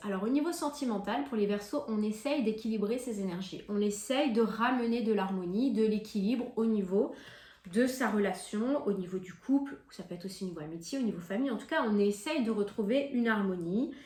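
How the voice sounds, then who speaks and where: With audible room echo and noticeable background noise, a woman talks at a moderate pace in a fairly high voice with lively intonation. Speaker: tarot card reader. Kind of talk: monthly tarot reading to camera. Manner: hesitant, many fillers.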